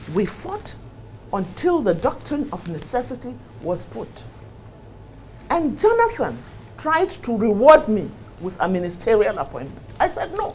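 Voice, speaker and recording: Over noticeable background noise, a woman with a northern Nigerian accent speaks fairly slowly at a fairly high pitch, with very wide pitch swings, big swings in loudness, and long, frequent pauses. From Nigeria, Kano. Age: 60s. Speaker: politician. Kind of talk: interview. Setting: studio. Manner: animated.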